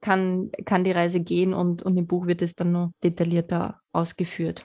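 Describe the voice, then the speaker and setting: A woman is speaking. The background is quiet. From Lower Austria. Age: 30s. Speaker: sustainability researcher. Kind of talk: interview conversation. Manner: hesitant with frequent repetitions.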